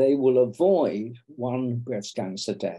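Against a quiet background, a man with a British accent speaks very slowly. His medium-pitched voice has a dark, mellow tone. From England. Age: 80s+. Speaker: breast cancer surgeon and professor. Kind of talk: podcast interview. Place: home room. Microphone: video call.

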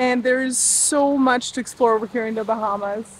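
Her voice is high-pitched and dry, with no echo at all. Light background noise sits underneath. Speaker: sailing vlogger. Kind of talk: casual vlog chat. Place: boat. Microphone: phone near.

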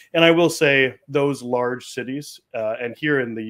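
A man's voice with ordinary pitch variation against a quiet background. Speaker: remote guest. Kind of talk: interview answer. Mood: friendly, engaged. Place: home room.

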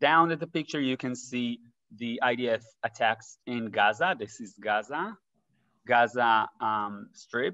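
Over a quiet background, a man speaks at a very slow pace in a bright, sharp tone with ordinary pitch variation. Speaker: presenter. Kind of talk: presentation talk. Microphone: webcam.

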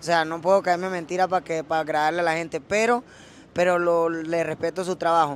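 A man with a Venezuelan accent speaks at a high pitch and a moderate pace. The sound is dry with no echo, over light background noise. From Venezuela (Caracas, Valencia). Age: 20s. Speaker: rapper; interviewee. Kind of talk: casual interview. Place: street. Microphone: handheld.

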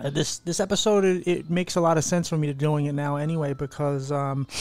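A man speaks at a fairly quick pace. The sound is dry, with no echo. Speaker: podcast host. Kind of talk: podcast intro chat.

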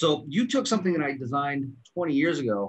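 With a quiet background, a man speaks at a fairly high pitch that swings very widely. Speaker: product formulator. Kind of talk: casual promotional panel chat. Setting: video call. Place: office. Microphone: video call.

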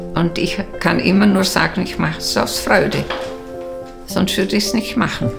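Clear music plays in the background. A woman speaks over it at a fairly slow pace. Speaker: photo shop owner. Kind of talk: interview answer. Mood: warm, cheerful, content. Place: home room. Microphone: lapel.

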